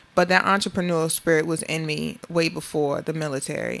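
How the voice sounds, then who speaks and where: In an American accent, a woman speaks at a fairly low pitch. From US South, Beaufort, South Carolina (Gullah Geechee). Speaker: entrepreneur, army veteran. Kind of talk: interview.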